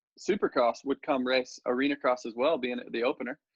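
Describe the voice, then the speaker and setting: A medium-pitched man with an American accent. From US Midwest, Iowa (Fort Dodge). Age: 30s. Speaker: professional motorcycle racer. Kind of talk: interview. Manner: casual, with many fillers.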